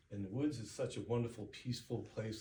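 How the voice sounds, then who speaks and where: Noticeable background noise sits behind a man of medium pitch whose intonation stays fairly even. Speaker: public speaker. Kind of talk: speech contest address. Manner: reflective.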